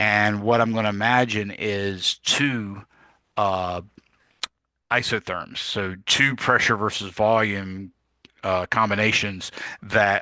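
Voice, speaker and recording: At a fairly slow pace, a man speaks in a fairly low, bright, sharp tone with monotone, flat intonation. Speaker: physics teacher. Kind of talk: lecture. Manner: casual with frequent fillers.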